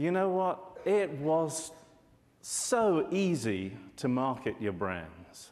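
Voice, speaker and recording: A man with a British accent speaks very slowly, his fairly high pitch rising and falling in very wide swings. Audible echo fills the room. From UK. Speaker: market research analyst. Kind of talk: conference presentation.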